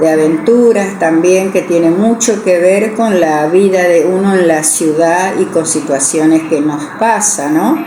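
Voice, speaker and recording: Against noticeable background noise and audible room echo, a woman talks very slowly at a medium pitch with ordinary pitch variation. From Argentina, Goya, Corrientes. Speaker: writer and retired teacher. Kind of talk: interview. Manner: halting, many fillers.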